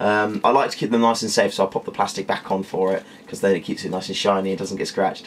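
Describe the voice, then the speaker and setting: Very fast and flat in a monotone, a man with a British accent and fairly low pitch talks over noticeable background noise. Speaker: tech reviewer. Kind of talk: product review. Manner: casual, filler-heavy.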